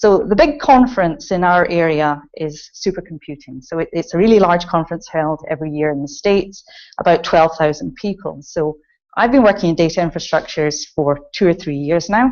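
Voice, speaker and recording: A woman's fairly low, lively voice with a Scottish accent at a fairly quick pace. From Scotland. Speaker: computing centre director. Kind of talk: conference talk. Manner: frequent filler ums.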